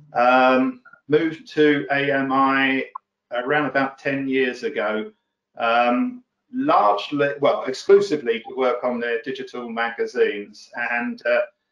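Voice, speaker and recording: Speaking at a fairly slow pace with fairly even intonation, a man is heard with audible room echo. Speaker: guest. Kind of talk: interview answer. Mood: relaxed, friendly. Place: office. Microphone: video call.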